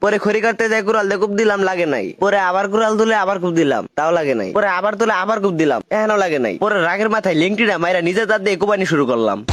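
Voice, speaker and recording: With very even loudness and ordinary pitch variation, a man speaks at a high pitch. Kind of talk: comedic voiceover narration. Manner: casual, humorous.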